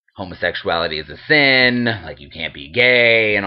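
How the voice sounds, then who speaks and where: This voice carries an American accent. It moves along fairly slowly. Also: man. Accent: slight twang. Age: 20s. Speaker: video blogger. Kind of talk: casual vlog monologue. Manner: animated.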